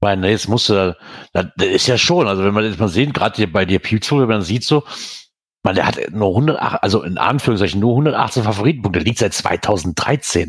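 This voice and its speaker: An ordinary speaking voice from a man, fairly low in pitch, with lively intonation at a fairly quick pace. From Germany, near the Eifel. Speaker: podcast host. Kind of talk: casual chat.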